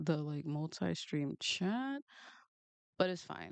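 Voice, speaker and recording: With a strong New York accent, a woman talks at a moderate pace using very wide pitch swings, in a dry, close sound with no echo. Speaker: manga artist and streamer. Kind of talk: casual live stream chat while drawing. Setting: live stream, home studio. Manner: casual, chatty.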